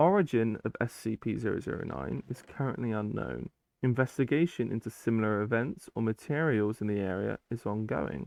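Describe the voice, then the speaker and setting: A man with a British accent and medium pitch talks at a fairly quick pace, with hardly any pauses and lively intonation. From Britain. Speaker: YouTuber reading SCP files with commentary. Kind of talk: reading aloud with casual commentary. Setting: gaming while recording. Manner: casual, with hesitations.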